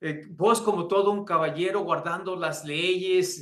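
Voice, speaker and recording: Fairly slow in pace, a man speaks at a high pitch. His pitch variation is ordinary. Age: 60s. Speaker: pastor and seminary teacher. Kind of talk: lecture.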